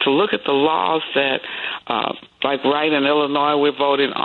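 The speaker has an American accent and a fairly quick pace. Noticeable background noise runs underneath. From Chicago (Chatham). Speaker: pastor and former lawyer. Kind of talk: radio interview, faith commentary.

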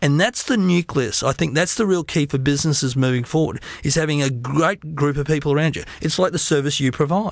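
A man with an Australian accent talks at a fairly quick pace. His pitch is fairly high, with ordinary pitch variation. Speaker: business speaker and author. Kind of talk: interview.

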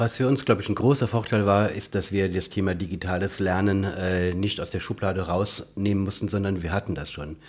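A man with a plain, everyday voice talks at a fairly quick pace and fairly low pitch, with hardly any pauses and fairly even intonation. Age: 50s. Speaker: physiotherapist and education campus director. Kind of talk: interview.

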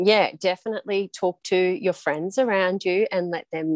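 In an Australian accent, a woman speaks at a medium pitch with ordinary variation, the sound dry and close with no echo over a quiet background. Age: 40s. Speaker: high school health and PE teacher. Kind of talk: casual chat.

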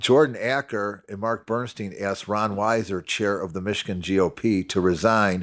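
On a very clean recording with a silent background, a man with an American accent and a plain, everyday voice talks at a moderate pace and fairly low pitch, with ordinary pitch variation. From Chicago. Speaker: political party official. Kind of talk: casual chat.

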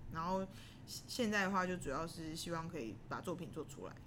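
The voice has vocal fry and a fairly quick pace, with audible room echo around it. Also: woman. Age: 30s. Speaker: singer and band frontwoman. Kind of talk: casual interview.

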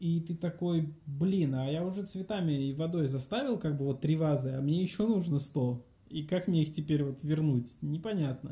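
Fairly high in pitch with ordinary variation, a man talks at a moderate pace. His is an unremarkable speaking voice. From Russia, Voronezh. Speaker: university lecturer and business coach. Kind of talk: interview.

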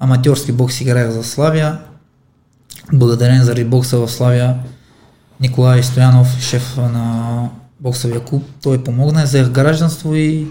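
Audible room echo surrounds a man speaking at a fairly slow pace and medium pitch. His dark, mellow tone is somewhat breathy and monotone, with flat intonation. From Armenia. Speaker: professional boxer. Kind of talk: interview.

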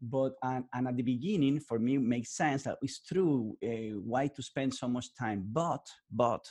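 This man speaks with a Spanish accent at a medium pitch. His pitch variation is ordinary, and the background is quiet. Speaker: podcast host. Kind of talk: interview. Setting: video call. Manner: animated.

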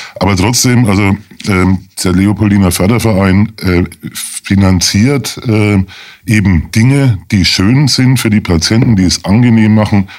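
This man has an unremarkable speaking voice, pitched fairly low. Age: 50s. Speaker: lawyer, charity association chairman. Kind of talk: radio interview.

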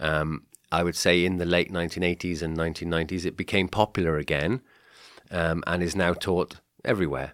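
Speaking at a fairly quick pace, a man with a very deep, low pitch keeps his intonation fairly even in a dry, close sound with no echo and a very clean recording against a silent background. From Wales, Cardiff. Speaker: guest, Welsh expat living in Slovakia. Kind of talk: casual interview chat.

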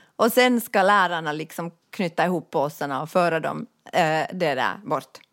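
A woman with an ordinary speaking voice talks at a moderate pace and a fairly low pitch. Her intonation is lively, on a very clean recording with a silent background. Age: 40s. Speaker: podcast co-host. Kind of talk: casual chat.

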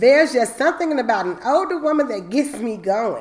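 Noticeable background noise sits behind a woman speaking at a moderate pace. Her tone is animated, with very wide pitch swings. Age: 40s. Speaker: podcast host. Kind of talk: casual chat.

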